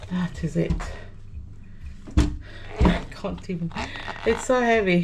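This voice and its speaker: Against noticeable background noise and audible room echo, a woman speaks at a very slow pace with long, frequent pauses. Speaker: gardening vlogger. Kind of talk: casual vlog narration. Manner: casual and chatty.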